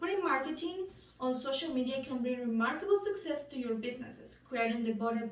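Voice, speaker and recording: A woman speaks at a moderate pace in a Spanish accent, her pitch high and her intonation lively. Room echo can be heard in the recording. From Bolivia. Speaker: student. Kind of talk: class speech.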